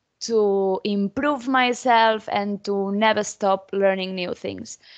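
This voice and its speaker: Quiet in the background, a woman speaks with a Spanish accent. Her pitch is fairly high and her intonation fairly even. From Spain. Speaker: technology conference speaker; conference speaker. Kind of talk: conference presentation. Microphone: video call.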